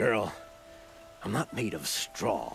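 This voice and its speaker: A man performs a put-on character voice with a raspy edge. Clear music plays in the background. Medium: video game. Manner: hesitant, stammering, chuckling.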